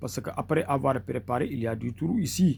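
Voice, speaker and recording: A somewhat breathy man with a Senegalese accent, at a moderate pace with lively intonation. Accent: Senegalese Wolof-accented French. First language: Wolof (speaking French). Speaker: mystic healer, charm maker. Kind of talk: tutorial. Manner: halting, with repetitions and fillers.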